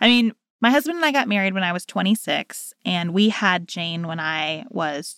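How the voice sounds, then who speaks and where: The voice has a bright, sharp tone and lively intonation. Its loudness swings a lot. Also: woman, dry, close sound with no echo, very clean recording, silent background. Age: 30s. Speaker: podcast co-host, lawyer. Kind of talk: casual chat.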